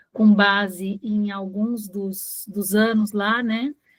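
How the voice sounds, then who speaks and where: A woman's medium-pitched voice comes across as somewhat breathy. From Brazil, interior of São Paulo state (Ribeirão Preto). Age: 60s. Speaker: retired bank employee, workshop participant. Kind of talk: reading aloud a personal life-story text.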